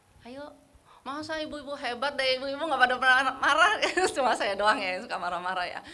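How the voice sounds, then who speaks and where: Lively intonation marks a woman's speech. Audible room echo surrounds her voice. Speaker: women's fellowship leader. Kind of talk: casual church fellowship talk.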